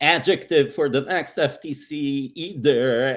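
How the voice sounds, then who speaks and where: A man with a non-native accent, fairly high in pitch, with fairly even intonation, on a very clean recording with a silent background. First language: not English. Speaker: privacy lawyer. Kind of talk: panel discussion.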